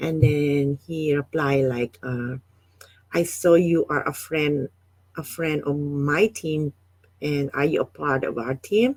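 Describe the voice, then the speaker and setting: A woman speaks at a very slow pace with a very deep, low pitch. The sound is dry and close, with no echo. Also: ordinary pitch variation. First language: not English. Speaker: online business coach. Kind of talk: live stream talk. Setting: Facebook live stream. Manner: halting, many fillers.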